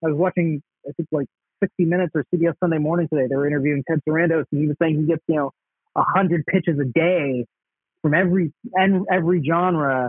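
A man with an American accent speaks at a very fast pace and fairly high pitch. His intonation stays fairly even, and his loudness is very even. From Dallas, Texas. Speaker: stand-up comedian. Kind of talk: casual interview. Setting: remote call.

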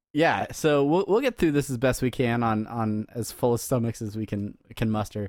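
Here a man speaks in an unremarkable speaking voice at medium pitch, keeping a moderate pace with ordinary pitch variation and hardly any pauses. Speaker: podcast host. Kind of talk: casual banter, comedic chat.

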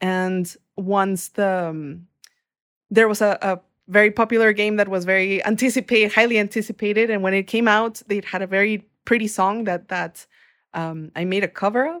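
A woman in a Spanish accent, with fairly even intonation. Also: medium pitch for a woman, moderate pace. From Mexico. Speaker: singer-songwriter and music producer. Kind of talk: casual interview chat.

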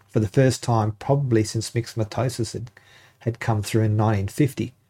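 A man with an Australian accent speaks at a medium pitch and a fairly quick pace, with fairly even intonation. His tone is dark, mellow and somewhat breathy, in a very clean recording with a silent background. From Northern Territory, Australia. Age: 50s. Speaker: park ranger. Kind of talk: interview. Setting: studio.

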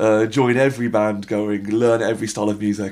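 A man with a British accent, fairly low in pitch, in an excited, animated tone. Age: 30s. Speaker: drummer and comedian. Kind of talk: casual interview chat. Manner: very fast talker.

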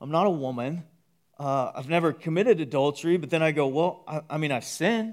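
A man with an American accent and a fairly high pitch speaks at a very fast pace, recorded very cleanly against a silent background. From Texas (Waco). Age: 30s. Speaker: pastor. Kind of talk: sermon. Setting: church.

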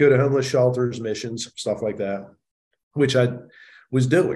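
Talking at a very fast pace, a man with an American accent sounds somewhat breathy, with a medium pitch and ordinary pitch variation. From US, Baltimore. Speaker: real estate investor and speaker. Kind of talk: interview, casual storytelling.

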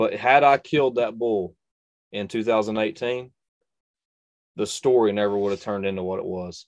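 Speaking at a moderate pace with long, frequent pauses, a man with a North Carolina accent and a fairly low pitch shows ordinary pitch variation against a quiet background. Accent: Southern US (North Carolina). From North Carolina, US. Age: 20s. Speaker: bowhunter and YouTube bow reviewer. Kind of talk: casual interview chat.

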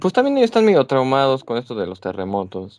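On a very clean recording with a silent background, a man speaks at a medium pitch. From Mexico. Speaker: podcast co-host. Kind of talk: casual chat.

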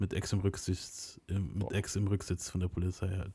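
On a very clean recording with a silent background, a man talks at a moderate pace. His voice is fairly low in pitch, somewhat breathy, with a dark, mellow tone. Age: 30s. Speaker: podcast host. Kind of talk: casual chat. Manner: casual slangy storytelling.

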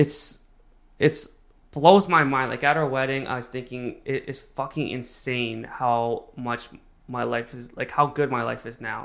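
An ordinary speaking voice from a man, medium in pitch with fairly even intonation. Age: 30s. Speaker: guest sharing recovery from addiction. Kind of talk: casual interview chat.

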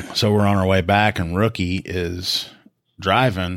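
The recording is very clean with a silent background. A man talks with a Southern US accent and a very deep, low pitch. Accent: US South. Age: 40s. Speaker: police officer and podcast co-host. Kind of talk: casual chat.

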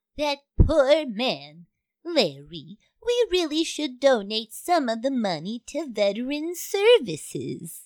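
A woman uses a put-on character voice at a high pitch, with very wide pitch swings. She goes at a fairly slow pace on a very clean recording with a silent background. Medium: audio drama. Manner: brusque, folksy, sassy.

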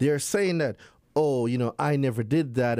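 Recorded very cleanly against a silent background, a man speaks in a medium pitch with a dark, mellow tone. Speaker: consumer law expert. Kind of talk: interview explaining consumer law. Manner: animated.

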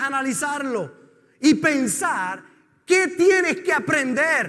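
In an extremely high pitch, a man speaks very slowly with lively intonation. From Puerto Rico. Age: 50s. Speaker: pastor. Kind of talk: sermon.

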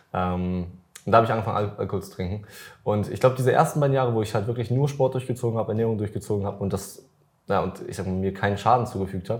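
Speaking at a very fast pace, a man with a fairly low pitch sounds somewhat breathy, his intonation fairly even. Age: 20s. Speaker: fitness influencer and podcast host. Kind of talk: casual chat.

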